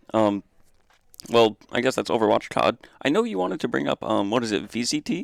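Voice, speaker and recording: A man talks at a fairly quick pace in a medium pitch, his intonation lively and touched with vocal fry. The sound is dry and close, with no echo. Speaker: college esports manager and podcast host. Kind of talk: casual chat. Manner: loud.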